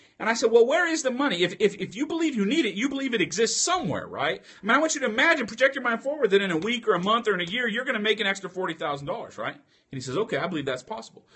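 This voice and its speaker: Over noticeable background noise, a man races at a very fast pace with hardly any pauses, his extremely high pitch making very wide swings and his loudness shifting a lot. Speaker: online show host answering questions. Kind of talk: storytelling in a live open forum.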